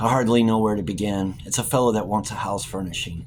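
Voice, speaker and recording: A man's put-on, gruff character voice, fairly low and very fast, with clear background noise. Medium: read story. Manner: gruff, blunt.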